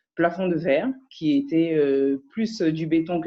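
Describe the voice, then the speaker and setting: This woman's voice sits at a very deep, low pitch. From France. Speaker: audience participant. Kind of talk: testimony. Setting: video call.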